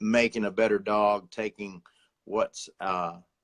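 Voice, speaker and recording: A North Carolina accent in a dry, close sound with no echo, on a very clean recording with a silent background. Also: man. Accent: US Southern (North Carolina). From North Carolina (Sanford). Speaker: outdoor television host and producer. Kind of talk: casual chat.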